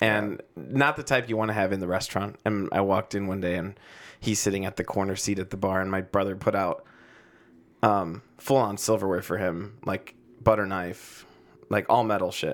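The speaker is a man with an unremarkable speaking voice and fairly low pitch. He goes at a moderate pace with fairly even intonation. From Chicago, south side, Mexican-American family. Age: 30s. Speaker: chef. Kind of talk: casual chat.

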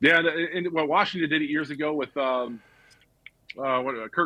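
A man talks at a very fast pace in a fairly high voice with ordinary pitch variation. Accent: American. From US South, Georgia (Marietta). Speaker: former NFL player and sports broadcaster. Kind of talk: casual chat.

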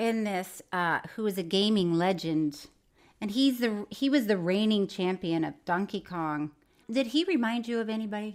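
A woman speaks in an American accent at a moderate pace. Her pitch is medium and her intonation lively. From Florida. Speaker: podcast co-host. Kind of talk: casual chat.

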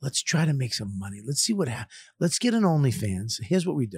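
A man speaks at a medium pitch and moderate pace, somewhat breathy, with very wide pitch swings. The recording is very clean with a silent background. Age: 50s. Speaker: comedian and podcast host. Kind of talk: casual chat. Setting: studio. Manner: animated.

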